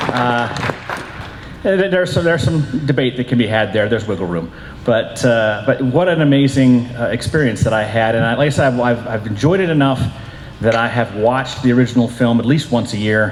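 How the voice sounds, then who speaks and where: A man's medium-pitched voice at a fairly quick pace, ordinary pitch variation, noticeable background noise and audible room echo. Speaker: convention panelist. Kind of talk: convention panel discussion. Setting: stage with audience. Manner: loud.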